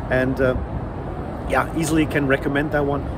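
A man talks over noticeable background noise. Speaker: food vlogger. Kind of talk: casual vlog chat, food review. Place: street. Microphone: phone near.

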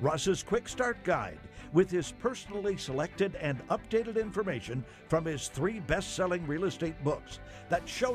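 Over music in the background, a man with a high pitch talks in an upbeat tone at a fairly slow pace, with very wide pitch swings. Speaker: announcer. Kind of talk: TV infomercial voice-over. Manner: upbeat, hard-sell.

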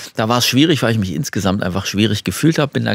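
Against a quiet background, a man with a fairly low pitch talks at a very fast pace with lively intonation in a dry sound with no echo. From Germany, Detmold (East Westphalia), moved to Swabia at ten; Germany. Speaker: Paralympic champion and horn player, former civil servant; talk show guest. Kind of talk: talk show interview. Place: studio. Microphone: studio mic.

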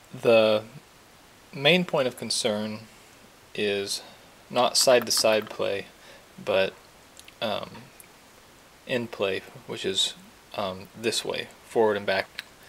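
A man at a very slow pace with long, frequent pauses and ordinary pitch variation, over light background noise. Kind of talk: tutorial. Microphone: phone near.

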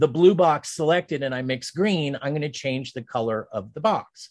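A man's fairly high voice with an American accent, at a moderate pace, against a quiet background. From Pennsylvania and Ohio, US. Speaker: design instructor. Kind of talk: tutorial. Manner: casual, with fillers and laughs. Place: home room.

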